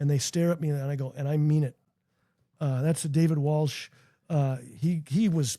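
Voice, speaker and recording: A somewhat breathy man with an American accent, fairly high pitch and a dark, mellow tone, at a moderate pace with long, frequent pauses, on a very clean recording with a silent background. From Minnesota, US Midwest. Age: 60s. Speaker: founder of a youth character-education nonprofit. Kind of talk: podcast interview. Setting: basement studio. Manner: animated.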